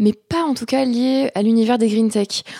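Fairly high in pitch with a dark, mellow tone, a woman's voice comes through in a dry, close sound with no echo. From southeastern France, Aix-en-Provence area. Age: 20s. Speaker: agritech startup founder. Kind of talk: interview. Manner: halting, with frequent fillers.

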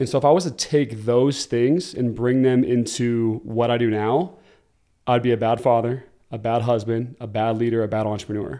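An American accent comes through in a voice with a dark, mellow tone. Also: man, medium pitch for a man, moderate pace. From Oregon, US. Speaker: former pro football player turned entrepreneur. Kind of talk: casual interview chat. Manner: animated.

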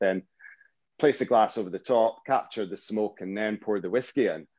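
A man speaks with a Scottish accent at a moderate pace. The sound is dry and close, with no echo. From Scotland, Fife. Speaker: drinks entrepreneur. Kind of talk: casual chat.

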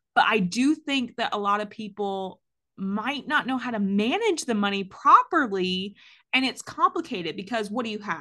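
A woman with an American accent speaks at a moderate pace, her intonation lively. The tone is bright and sharp against a quiet background. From US South, Georgia. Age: 30s. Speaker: podcast host and parent. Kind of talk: casual interview chat.

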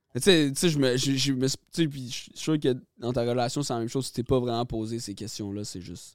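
A man speaks in an unremarkable speaking voice at medium pitch with ordinary pitch variation. His pace is moderate, while his loudness swings widely. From Quebec, Lanaudière region. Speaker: rapper. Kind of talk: casual chat.

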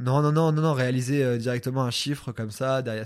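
With an ordinary speaking voice, a man talks at a fairly quick pace in a medium pitch and fairly even intonation on a very clean recording with a silent background. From France, Troyes. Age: 20s. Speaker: youtuber. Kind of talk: casual interview.

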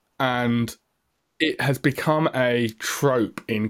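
In a very clean recording with a silent background, a man talks at medium pitch with ordinary pitch variation. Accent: English. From England. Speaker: tech podcast co-host. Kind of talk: casual chat.

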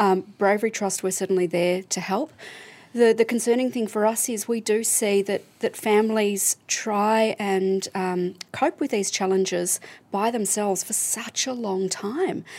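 With an Australian accent, a woman talks at a fairly slow pace, her medium pitch showing ordinary variation. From Melbourne, Australia. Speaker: charity CEO. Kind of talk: casual chat. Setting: studio.

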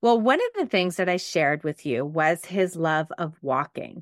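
The speaker has a Montreal accent, a moderate pace and ordinary pitch variation. Dry, close sound with no echo sits over a quiet background. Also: woman. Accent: Anglophone Montreal Canadian English. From Quebec, Canada (West Island, Montreal). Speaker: podcast host and life coach. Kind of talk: solo podcast monologue.

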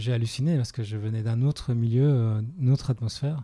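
Somewhat breathy and dark, mellow in tone, a man's voice moves at a fairly quick pace. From Belgium. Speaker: spiritual movement teacher. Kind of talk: interview conversation. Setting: on location at a summer retreat in Italy.

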